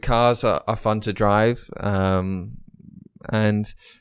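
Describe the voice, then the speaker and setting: In a very clean recording with a silent background, a man with an English accent speaks at a fairly low pitch with ordinary pitch variation. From Dubai, British parents. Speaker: racing driver. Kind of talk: interview.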